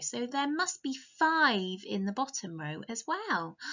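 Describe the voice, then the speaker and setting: This woman talks at a very slow pace. The background is quiet. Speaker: teacher reading a story. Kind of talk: storytime lesson for young children. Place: home room. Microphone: webcam.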